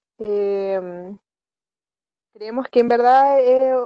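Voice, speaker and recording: A woman speaks with a Chilean accent. Her pitch is high, with ordinary variation. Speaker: university student. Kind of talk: casual chat.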